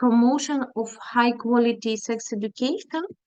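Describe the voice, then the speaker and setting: In a Ukrainian accent, a woman speaks at a fairly high pitch. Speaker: feminist activist, NGO worker. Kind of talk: panel presentation. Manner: halting, many fillers.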